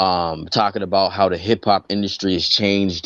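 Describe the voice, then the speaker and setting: A very deep, low male voice with an East Coast US accent at a moderate pace, dry and close with no echo, against a quiet background. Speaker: rapper. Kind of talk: casual interview chat. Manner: animated, with many fillers.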